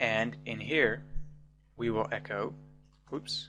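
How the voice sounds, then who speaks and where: A man talks at a very slow pace while music plays in the background. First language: not English. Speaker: programming tutor. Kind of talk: tutorial.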